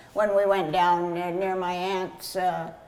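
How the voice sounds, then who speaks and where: A woman with an American accent speaks at a very slow pace. Noticeable background noise and audible room echo are present. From California (Kern County), US West. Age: 90s. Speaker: grape grower. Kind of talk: oral history interview. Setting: at the vineyard. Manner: halting, many fillers.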